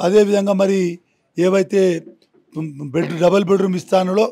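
Against a quiet background, a man speaks with a high pitch and a dark, mellow tone. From Telangana. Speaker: politician. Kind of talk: interview. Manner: animated. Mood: agitated, accusatory. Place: home room. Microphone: handheld.

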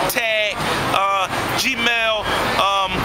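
Loud background noise runs throughout. Through it, a man talks. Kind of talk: interview answer. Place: street. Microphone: camera far.

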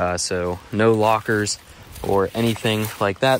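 Over noticeable background noise, a man with a fairly low pitch speaks in a monotone, flat intonation, the sound dry with no echo. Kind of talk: casual vlog chat. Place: forest. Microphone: phone near.

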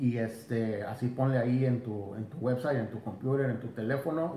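A man with a somewhat breathy voice talks amid audible room echo. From Mexico. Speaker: fishing YouTuber; fishing channel host. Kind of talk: bilingual live stream, casual chat. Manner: switches between Spanish and English. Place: home room. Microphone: phone near.

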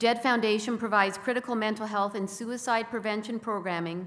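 Her intonation remains fairly even. The speaker is a woman. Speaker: corporate sponsor representative. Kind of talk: prepared speech. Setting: stage with audience. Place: hall. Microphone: podium.

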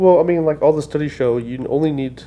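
A man is talking. His pitch moves in an ordinary way. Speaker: podcast host. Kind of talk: casual podcast conversation. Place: office. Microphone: studio mic.

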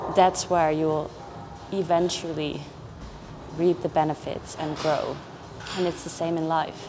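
With music playing in the background, a woman speaks fairly slowly at a fairly low pitch in a monotone, flat intonation. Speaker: fitness vlogger. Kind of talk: casual vlog chat. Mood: calm, reflective. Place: gym.

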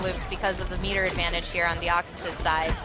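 A man at a fairly quick pace, dry sound with no echo, clear music in the background. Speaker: esports fighting game commentator. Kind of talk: live esports match commentary. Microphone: headset.

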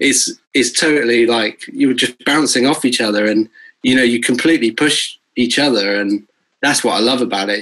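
A man speaks with a southern English accent and fairly even intonation. The background is quiet. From Bristol, England; England. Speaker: guitarist and music producer; guest. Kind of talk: casual interview chat. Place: home room. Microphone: video call.

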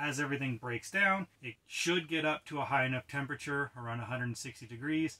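This is a man's voice. His tone is bright and sharp. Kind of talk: tutorial. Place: tent.

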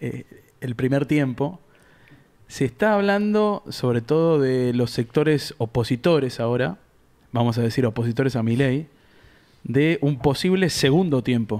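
A man talks fairly slowly with lively intonation against a quiet background. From Argentina. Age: 30s. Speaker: podcast host. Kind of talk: interview. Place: studio. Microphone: studio mic.

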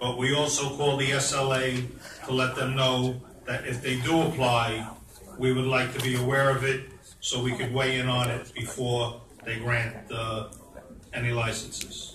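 A man speaks fairly slowly in a monotone with flat intonation, against noticeable background noise. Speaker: committee chair; committee chair reporting. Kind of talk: committee report at public meeting. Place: hall. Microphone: camera far.

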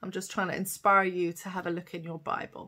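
A woman's bright, sharp tone at a fairly low pitch, fairly quick pace and little pitch movement.

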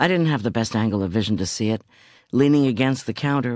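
The passage is read aloud plainly. Its pitch varies an ordinary amount.

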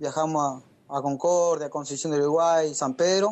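Fairly even intonation from a man pitched fairly high. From Argentina, Entre Ríos (Gualeguaychú). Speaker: racing driver. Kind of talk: radio interview. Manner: halting.

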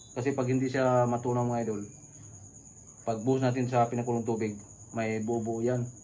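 Talking at a fairly quick clip with long, frequent pauses, a man with a medium-pitched voice keeps a flat monotone while the room echo is audible. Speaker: video blogger making homemade ice cream. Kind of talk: cooking tutorial. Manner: casual, chatty.

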